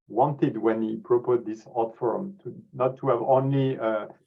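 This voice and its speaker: In a French accent, a man of medium pitch speaks at a moderate pace. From France. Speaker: scientific society president. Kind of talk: closing remarks on webinar. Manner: halting, many repetitions and fillers.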